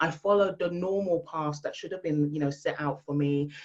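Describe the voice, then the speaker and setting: With a London accent, a woman talks at a fairly quick pace in a very deep, low voice. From England, London. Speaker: female empowerment speaker. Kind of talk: podcast interview. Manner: loud.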